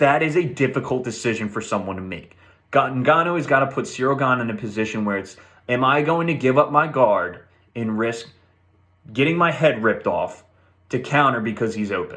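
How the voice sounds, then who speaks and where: Bright and sharp in tone, a man at medium pitch talks at a fairly quick pace in an animated tone, his pitch varying an ordinary amount amid audible room echo. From not British. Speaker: MMA betting analyst. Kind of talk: solo fight preview commentary.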